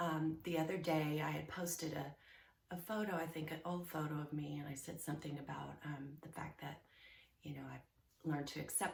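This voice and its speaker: A woman speaks with a very deep, low pitch and vocal fry. Her intonation stays monotone and flat at a moderate pace. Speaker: life coach. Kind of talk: casual vlog talk. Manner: hesitant, many fillers.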